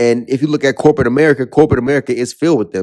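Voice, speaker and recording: The intonation stays fairly even throughout. The speaker is a man. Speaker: YouTube commentator. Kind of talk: video commentary monologue. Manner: halting with repetitions.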